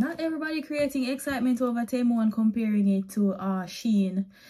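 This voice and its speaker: A woman talks with lively intonation at a fairly high pitch. Noticeable background noise runs beneath her. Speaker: lifestyle vlogger; vlogger. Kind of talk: try-on haul vlog. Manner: casual, chatty. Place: home room. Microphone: phone near.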